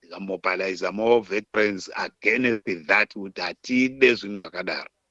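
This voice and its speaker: A man with a Zimbabwean accent speaks at a fairly low pitch in a bright, sharp tone. His pace is moderate, and the sound is dry and close with no echo. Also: fairly even intonation. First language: Shona. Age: 70s. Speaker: war veteran, political commentator. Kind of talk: interview, political commentary.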